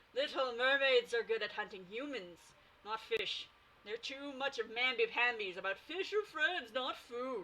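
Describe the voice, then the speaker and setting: Growling in a put-on character voice, a woman speaks at a high pitch and a moderate pace. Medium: read story. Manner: growling, teasing.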